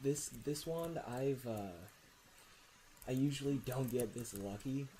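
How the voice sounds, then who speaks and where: Soft-spoken and somewhat breathy, a man speaks at a medium pitch in a dark, mellow tone at a very slow pace with long, frequent pauses. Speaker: gaming streamer. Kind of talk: live gameplay commentary. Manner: halting.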